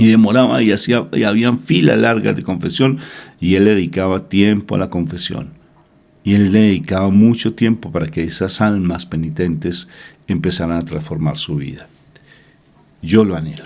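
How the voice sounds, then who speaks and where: A man with a Colombian accent talks at a moderate pace in a very deep, low voice with lively intonation. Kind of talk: religious reflection. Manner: emotive.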